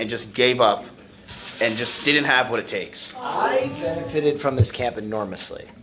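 A man's voice at a moderate pace with ordinary pitch variation, music in the background. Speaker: streamer. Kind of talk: casual vlog chat. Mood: relaxed, reflective. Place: office. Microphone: phone near.

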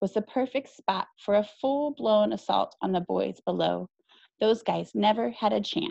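A quiet background behind someone reading aloud in a natural voice

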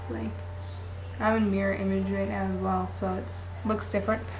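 A man with a fairly low-pitched voice is heard amid noticeable background noise. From Toronto, Ontario, Canada. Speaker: vlogger introducing themself. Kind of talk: casual talk to camera. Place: home room. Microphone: webcam.

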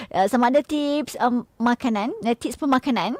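With lively intonation, a woman speaks high in her range at a fairly slow pace. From Malaysia, Pahang. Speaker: radio host. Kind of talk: cooking show chat. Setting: radio studio, also streamed live. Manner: animated.

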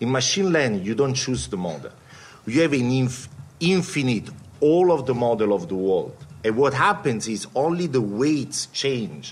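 A man with an Italian accent, moderate pace and very wide pitch swings. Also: medium pitch for a man. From Italy. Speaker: quant fund CEO; panelist. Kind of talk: panel talk. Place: meeting room. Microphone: podium.

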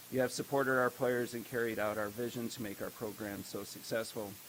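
Soft-spoken, a man talks at a fairly quick pace with a fairly low pitch. His intonation is flat and monotone, with noticeable background noise behind him. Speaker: high school baseball coach. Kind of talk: speech recap at board meeting. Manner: hesitant, many fillers.

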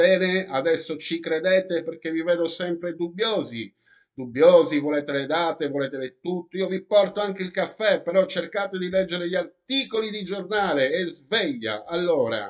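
A man talks at a moderate pace in a high pitch with ordinary pitch variation. The background is quiet. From Italy. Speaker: YouTuber. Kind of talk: vlog commentary reading news articles. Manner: animated.

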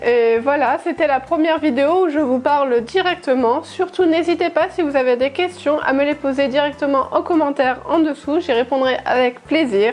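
A woman with a high-pitched voice speaks at a moderate pace, with ordinary pitch variation, very even loudness and hardly any pauses. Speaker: travel vlogger. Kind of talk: casual vlog chat. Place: home room. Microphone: lapel.

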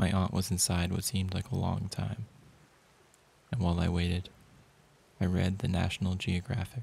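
Long, frequent pauses break up a somewhat breathy voice with fairly even intonation. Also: man, very deep, low pitch for a man, moderate pace. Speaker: poetry reader. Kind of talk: poem reading, measured and intimate, like a hushed spoken-word narration.

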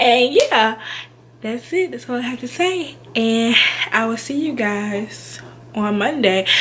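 Over light background noise, a woman speaks fairly slowly in a high pitch. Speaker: YouTuber, childcare worker. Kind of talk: casual vlog talk to camera. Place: home room. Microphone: webcam.

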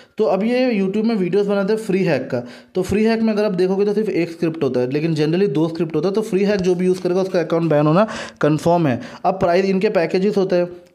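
A man speaks with a high pitch and a dark, mellow tone, his loudness very even and his pitch varying in an ordinary way. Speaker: gaming YouTuber. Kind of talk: casual video monologue.

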